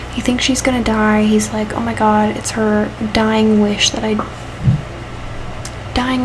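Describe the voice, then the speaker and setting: Against noticeable background noise, a soft-spoken woman talks at a fairly high pitch with fairly even intonation and long, frequent pauses. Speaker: book reviewer. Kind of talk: casual talk to camera.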